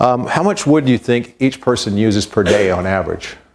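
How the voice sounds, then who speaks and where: Fairly quick male speech at a medium pitch, set against noticeable background noise. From Invercargill, New Zealand, left at seven, returned at 22. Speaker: professor. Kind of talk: lecture. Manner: conversational, addresses audience with questions.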